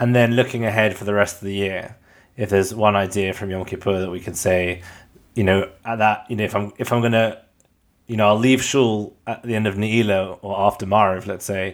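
A man speaks at a fairly quick pace in a fairly low pitch. His intonation is monotone and flat, and the recording is very clean with a silent background. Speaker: podcast co-host interviewer. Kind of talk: interview questions.

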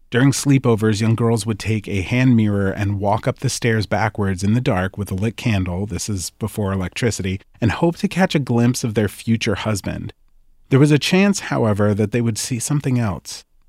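Here is a man with a plain, everyday voice. He has a fairly low pitch and a moderate pace. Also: ordinary pitch variation, dry, close sound with no echo. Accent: American. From New Jersey. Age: 30s. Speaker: podcast host. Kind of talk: scripted narration.

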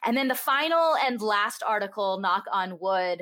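The recording is very clean with a silent background. A woman speaks in a bright, sharp tone. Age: 30s. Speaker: sex educator. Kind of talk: interview.

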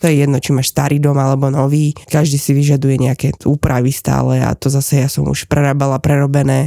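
Her very deep, low voice has a dark, mellow tone as this woman speaks at a very fast pace with hardly any pauses, monotone, flat intonation, very even loudness, and a dry, close sound with no echo. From Slovakia. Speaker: real estate agent. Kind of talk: casual chat.

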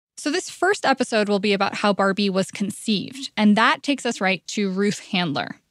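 A woman talks at a fairly quick pace with hardly any pauses, in a plain, everyday voice of medium pitch and ordinary pitch variation. The recording is very clean with a silent background, and the sound is dry and close with no echo. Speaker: podcast host and journalist. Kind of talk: scripted narration.

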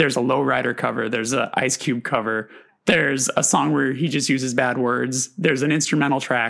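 At a fairly quick pace, a man with a medium pitch speaks in fairly even intonation and very even loudness, with vocal fry. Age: 30s. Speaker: podcast host. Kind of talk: casual chat.

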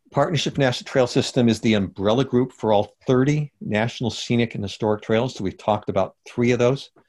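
A man of medium pitch talks at a fairly quick pace with hardly any pauses. His pitch varies in an ordinary way. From US West, Los Angeles. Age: 60s. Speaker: hiking author and trail advocate. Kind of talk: interview.

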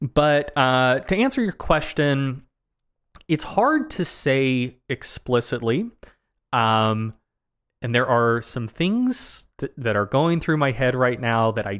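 Speech in a Southern US accent comes at a very slow pace with ordinary pitch variation. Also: man, very clean recording, silent background. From US South. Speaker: podcast co-host. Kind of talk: casual live Q&A conversation. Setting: live video stream.

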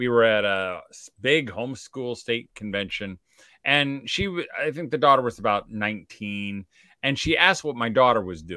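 A man with a bright, sharp tone and medium pitch speaks at a moderate pace, his intonation lively and his loudness swinging widely. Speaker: homeschool speaker. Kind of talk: casual chat. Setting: video call.

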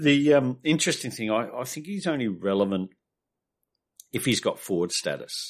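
Speaking with an Australian accent, a man at a medium pitch swings his pitch very widely and leaves long, frequent pauses. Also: moderate pace. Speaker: fantasy football pundit. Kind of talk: casual chat. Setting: video call.

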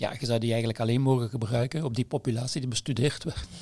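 Very fast and somewhat breathy, a man talks at a medium pitch. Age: 60s. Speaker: nutritionist and epidemiologist, editor. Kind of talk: casual chat.

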